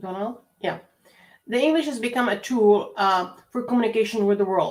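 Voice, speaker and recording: A woman with a Czech accent talks at a fairly high pitch. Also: ordinary pitch variation, moderate pace. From Czech Republic. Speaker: university lecturer. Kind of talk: lecture.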